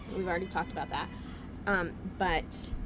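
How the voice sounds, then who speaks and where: Medium-pitched female speech at a moderate pace, with noticeable background noise. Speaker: book youtuber. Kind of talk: casual book haul video. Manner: whispering at times.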